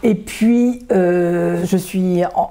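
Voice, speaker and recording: A woman speaks at a medium pitch with a dark, mellow tone and ordinary pitch variation. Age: 70s. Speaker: association vice-president, retired neuroscientist. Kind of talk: interview. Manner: hesitant, many filler sounds.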